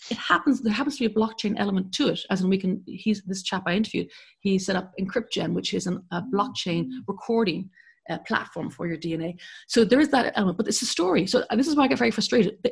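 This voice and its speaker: A woman with an Irish accent, somewhat breathy, very fast and lively in intonation, against a quiet background. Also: medium pitch for a woman. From Ireland. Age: 50s. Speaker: journalist and broadcaster. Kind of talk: interview.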